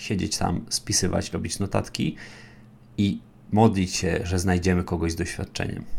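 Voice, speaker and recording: At a moderate pace, a man speaks in a very deep, low voice with vocal fry and ordinary pitch variation. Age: 20s. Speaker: podcast host, big data instructor. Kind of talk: solo educational podcast monologue. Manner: conversational.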